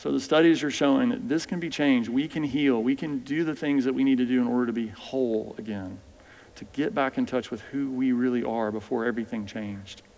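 This man has an American accent and a medium pitch. He talks at a fairly quick pace with ordinary pitch variation. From US. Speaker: physician. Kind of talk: lecture. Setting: stage with audience. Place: church.

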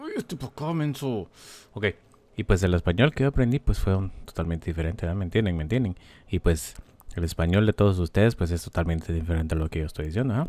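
In a very clean recording with a silent background, a man with a very deep, low voice talks at a very fast pace, his tone animated and his intonation lively. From California, US (Spanish-speaking Mexican-American background). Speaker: gaming YouTuber. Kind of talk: let's play commentary. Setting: home recording at computer. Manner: animated, exclamatory.

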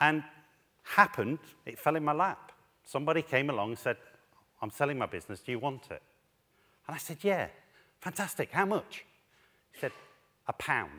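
With lively intonation and a bright, sharp tone, a man speaks at a fairly quick pace, showing vocal fry, big swings in loudness, and long, frequent pauses. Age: 40s. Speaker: head teacher and education speaker. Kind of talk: conference talk. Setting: stage with audience. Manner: animated. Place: stage. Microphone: headset.

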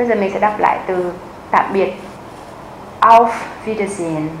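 A woman's voice carries audible room echo. Light background noise can be heard as well. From Vietnam. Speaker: German language teacher; language teacher. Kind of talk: tutorial. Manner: slow, clear repetition. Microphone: lapel.

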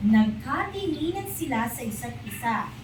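At a fairly slow pace, a woman speaks with a gentle tone. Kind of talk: bedtime storytelling, scripted narration with character voices. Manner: animated, expressive, changes voice for each character; gentle, slow and clear, child-friendly.

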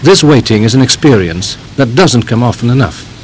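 A man talks fairly quickly, with light background noise behind him. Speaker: documentary narrator. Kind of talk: documentary narration.

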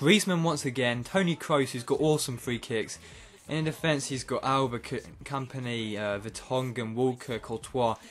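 Against light background noise, a man speaks at a moderate pace with ordinary pitch variation. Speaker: gaming YouTuber. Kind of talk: excited play-by-play commentary over his own FIFA match. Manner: animated, bursts of excited cheering at goals; casual, rambling with frequent uh and um fillers. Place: home room.

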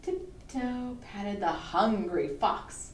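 The clip is plain reading aloud.

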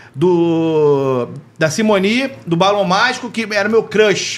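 A man is speaking. His intonation is lively. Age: 40s. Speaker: podcast host and print journalist; podcast host, print journalist. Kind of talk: casual interview chat. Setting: studio. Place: studio. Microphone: studio mic.

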